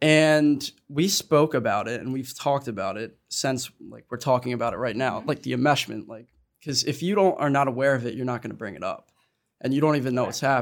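At a fairly quick pace, a man with an ordinary speaking voice and medium pitch shows ordinary pitch variation and big swings in loudness. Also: very clean recording, silent background. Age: 20s. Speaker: college student, son of parent in recovery. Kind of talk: casual panel conversation.

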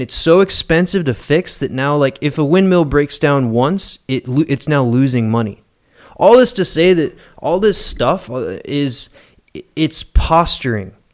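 This man speaks in an ordinary speaking voice with an American accent. His pitch is fairly high for a man, and his intonation is lively. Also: fairly slow pace. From West Virginia. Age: 30s. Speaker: podcast guest, creation science enthusiast. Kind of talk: casual chat.

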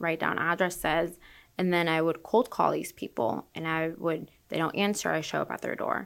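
On a very clean recording with a silent background, a woman with an American accent speaks at a moderate pace and fairly low pitch, her tone bright and sharp and her intonation fairly even. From Orlando, Florida. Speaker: real estate broker. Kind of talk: interview.

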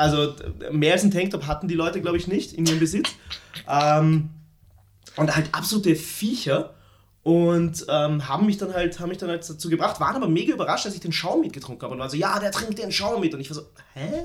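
Fairly quick in pace, a man speaks with a high pitch. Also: ordinary pitch variation. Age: 20s. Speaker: podcast co-host. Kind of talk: casual chat. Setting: at home, recording in an apartment.

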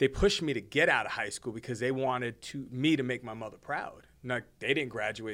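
In an American accent, a man talks at a fairly quick pace with a bright, sharp tone, medium pitch and fairly even intonation. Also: hardly any pauses. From New Jersey (Hoboken) and the Bronx. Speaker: podcast co-host. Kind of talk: casual chat.

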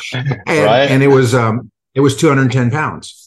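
A somewhat breathy man's voice with an American accent. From United States. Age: 50s. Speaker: gulf war veteran and leadership coach. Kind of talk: interview. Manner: halting, repeated words.

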